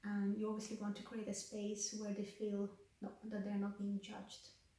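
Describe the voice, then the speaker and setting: The room echo is audible. A woman with a Russian accent talks at a fairly quick pace. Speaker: counselling student and vlogger. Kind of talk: reflective vlog.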